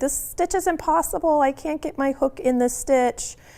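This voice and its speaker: A woman puts on a whiny character voice, pitched high. She moves at a moderate pace with lively intonation. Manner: whiny, weird exaggerated.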